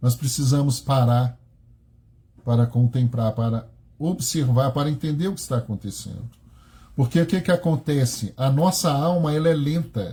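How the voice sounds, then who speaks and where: This man's voice has a dark, mellow tone, medium pitch, ordinary pitch variation and a somewhat breathy quality, broken by long, frequent pauses. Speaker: religious teacher. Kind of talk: religious study talk. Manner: slow.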